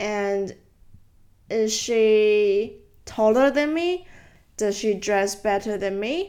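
A woman speaks at a very slow pace with a fairly high pitch, on a very clean recording with a silent background. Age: 20s. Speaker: solo podcaster. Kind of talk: casual monologue. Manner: hesitant, with fillers.

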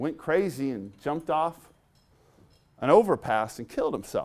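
A man with a fairly high pitch and very wide pitch swings, fairly slow, in a very clean recording with a silent background. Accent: Californian. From Southern California. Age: 40s. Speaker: preacher and basketball player. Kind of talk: sermon.

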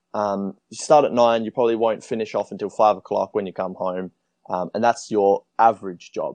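With an Australian accent and a fairly low pitch, a man speaks at a fairly quick pace with fairly even intonation and big swings in loudness, in a dry, close sound with no echo and a quiet background. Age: 20s. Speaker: traveler. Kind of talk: casual chat.

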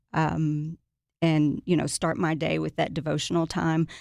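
Against a quiet background, a woman with a Tennessee accent speaks at a fairly low pitch and with fairly even intonation. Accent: Southern US (Tennessee). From US South, Middle Tennessee. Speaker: children's book author. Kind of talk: casual chat. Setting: studio.

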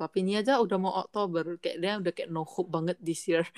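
A woman with a fairly low voice speaks with fairly even intonation in a dry, close sound with no echo. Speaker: podcast co-host. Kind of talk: casual chat.

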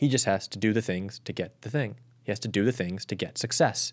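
A man speaks at a fairly quick pace in a normal speaking voice, his pitch fairly low. The pitch varies in an ordinary way, and the recording is very clean with a silent background. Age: young. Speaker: Paralympic athlete. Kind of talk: casual chat.

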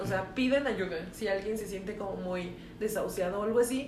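A woman at medium pitch with a Mexican accent and ordinary pitch variation, against noticeable background noise and audible room echo. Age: 20s. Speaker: podcast co-host. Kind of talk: casual chat.

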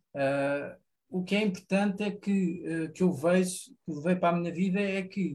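At a fairly slow pace, a man speaks with a high pitch and fairly even intonation. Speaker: environmental engineer, community garden member. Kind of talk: radio interview.

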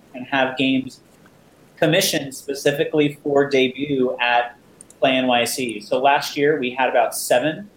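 Moderate pace in an American accent, with noticeable background noise. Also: man. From New Jersey. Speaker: games convention founder. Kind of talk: interview.

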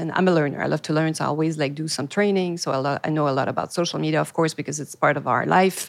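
A very fast delivery in a Quebec accent, with ordinary pitch variation. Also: woman. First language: French. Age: 40s. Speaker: podcast host, PR agency owner. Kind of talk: interview. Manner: halting.

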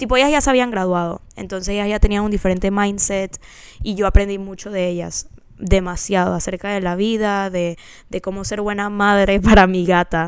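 The speaker has a plain, everyday voice. Delivery is moderate in pace, with fairly even intonation. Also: woman, medium pitch for a woman. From Panama. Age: 20s. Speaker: podcast co-host. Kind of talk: casual chat.

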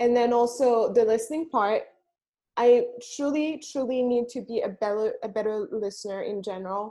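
A woman's fairly high voice with a dark, mellow tone, ordinary pitch variation and a moderate pace, over a quiet background. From Burundi. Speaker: podcaster. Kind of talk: interview.

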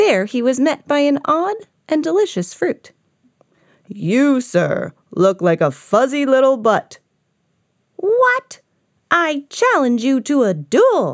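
A woman speaks in a playful tone at a high pitch, with very wide pitch swings and very even loudness. Her pace is very slow, with long, frequent pauses. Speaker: storybook reader. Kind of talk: children's storybook narration. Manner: animated; playful character voices.

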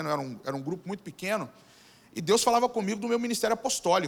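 A man with a high voice talks at a very fast pace, his intonation lively. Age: 40s. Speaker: pastor. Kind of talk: sermon. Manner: halting, frequent repetitions.

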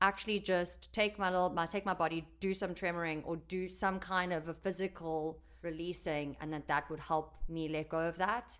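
A woman talks in a plain, everyday voice with a fairly low pitch. Her pace is moderate and her intonation fairly even. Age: 30s. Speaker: podcast host. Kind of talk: casual chat.

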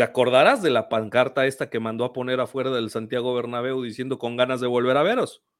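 Someone with a Mexican accent speaks in a very clean recording with a silent background. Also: man. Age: 30s. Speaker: football YouTuber. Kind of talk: casual chat.

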